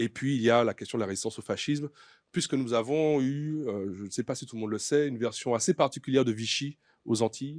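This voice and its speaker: A man's medium-pitched voice shows ordinary pitch variation on a very clean recording with a silent background. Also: dry, close sound with no echo. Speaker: writer and doctoral researcher. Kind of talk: conference talk. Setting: conference with audience. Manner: fast; hesitant, many fillers.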